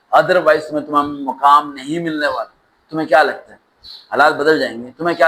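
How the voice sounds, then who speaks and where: A man's fairly high voice, passionate and intense, with a bright, sharp tone. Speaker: motivational speaker. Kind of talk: motivational speech. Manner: passionate, intense, emphatic.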